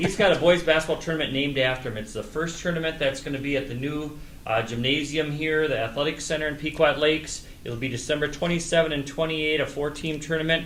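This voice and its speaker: A man talks at a very fast pace with hardly any pauses, his pitch fairly high and his intonation fairly even. Noticeable background noise runs under his voice. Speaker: local sports show host. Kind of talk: local sports show host talk.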